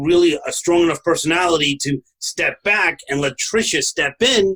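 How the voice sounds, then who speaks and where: Dry and close with no echo, a man's bright, sharp voice comes through in a Brooklyn accent. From New York, Brooklyn. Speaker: podcast host, franchise consultant. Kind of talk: casual podcast conversation.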